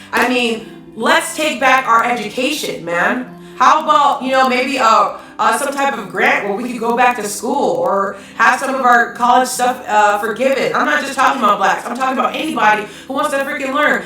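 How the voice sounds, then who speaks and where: Amid noticeable background noise and audible room echo, a woman with a high pitch and an animated tone talks at a moderate pace with hardly any pauses and ordinary pitch variation. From Hawaii. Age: 30s. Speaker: live-stream commentator. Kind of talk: live-stream rant reading chat comments. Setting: live stream at home.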